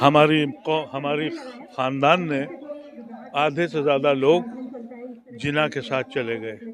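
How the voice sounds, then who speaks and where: A man talks with ordinary pitch variation, pausing long and often against noticeable background noise. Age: 70s. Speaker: former member of parliament, politician. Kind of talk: interview.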